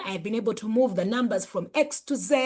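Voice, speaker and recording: Animated, somewhat breathy speech with lively intonation at a fairly quick pace. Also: woman. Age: 50s. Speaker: life coach and author. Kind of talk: motivational talk.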